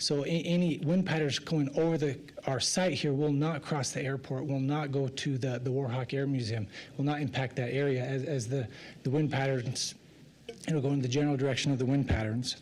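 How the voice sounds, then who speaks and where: Speaking fairly quickly in a fairly high pitch, a man with an American accent has an ordinary speaking voice and keeps his loudness very even. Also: fairly even intonation. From Idaho, Magic Valley. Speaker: applicant representative for a concrete plant. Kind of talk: public hearing testimony. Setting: city planning commission meeting.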